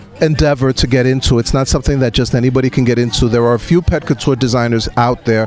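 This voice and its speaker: Music plays in the background. A man with a New York accent speaks with fairly even intonation. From New York City. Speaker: pet fashion designer. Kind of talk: interview answer.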